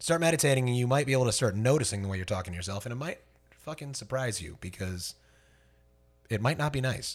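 Animated and somewhat breathy, a man talks very fast at a medium pitch with lively intonation, in a very clean recording with a silent background. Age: 30s. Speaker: working musician, podcast co-host. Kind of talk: casual chat.

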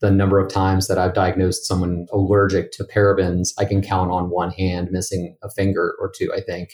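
At a moderate pace, a man with an American accent speaks in a fairly low, somewhat breathy monotone, recorded very cleanly against a silent background. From West Virginia. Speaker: dermatologist. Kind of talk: interview.

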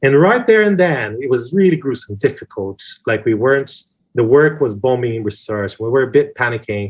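A somewhat breathy voice with a Portuguese accent. It moves at a moderate pace with lively intonation. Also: man, medium pitch for a man, quiet background. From Brazil. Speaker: advertising creative director. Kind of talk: interview.

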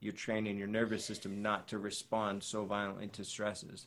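A man with an ordinary speaking voice, fairly low in pitch, at a moderate pace, in a very clean recording with a silent background. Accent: American. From Boston area, US. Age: 30s. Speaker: breath coach and actor. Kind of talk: casual chat.

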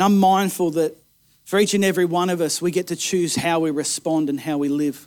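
Recorded very cleanly against a silent background, a man with an Australian accent speaks at a moderate pace in a high pitch. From Australia, Kempsey, New South Wales. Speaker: pastor. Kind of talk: rousing sermon climax, exhorting the congregation to push back against resistance. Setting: church service. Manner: impassioned and emphatic, punchy repeated slogans; animated storyteller, occasional stumbles when fired up.

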